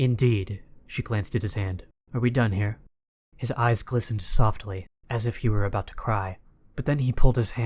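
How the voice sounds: Quiet background, a natural reading voice, ordinary pitch variation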